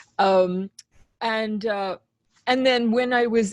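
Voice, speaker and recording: At a fairly slow pace, a woman with an Australian accent speaks in a dry, close sound with no echo. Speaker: composer. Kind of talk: interview.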